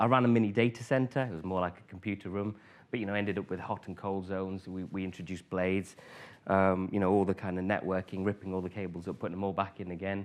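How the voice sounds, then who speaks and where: A man with a northern English accent and a very deep, low pitch talks at a very fast pace, keeping a fairly even intonation amid big swings in loudness. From northern England, Grimsby. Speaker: conference speaker, former IT manager. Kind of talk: conference talk. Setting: stage with audience. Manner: hesitant, many fillers.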